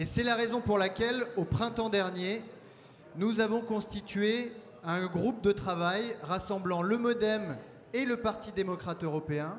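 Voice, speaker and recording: The delivery is fairly slow, with ordinary pitch variation. Light background noise is present. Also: man. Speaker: party official hosting the event. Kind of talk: conference opening speech. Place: hall. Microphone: handheld.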